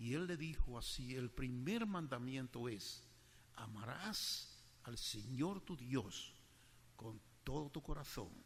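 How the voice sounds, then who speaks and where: A man's somewhat breathy, medium-pitched voice at a very slow pace, with lively intonation and audible room echo. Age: 80s+. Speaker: preacher. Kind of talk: sermon.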